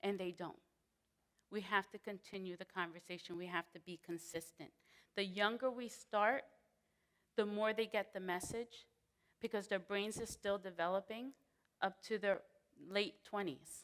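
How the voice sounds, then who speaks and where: A loud woman with a medium pitch talks at a moderate pace, with ordinary pitch variation and long, frequent pauses. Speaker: prevention specialist. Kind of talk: panel discussion.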